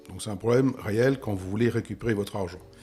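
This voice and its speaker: A man talks at a medium pitch with lively intonation. Music plays in the background. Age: 60s. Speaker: real estate investment expert. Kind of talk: interview.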